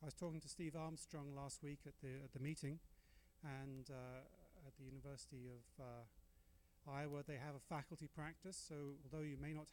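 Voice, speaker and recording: Here a man talks at a fairly quick pace with a fairly high pitch. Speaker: dental professor and researcher. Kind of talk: lecture. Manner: fast; animated.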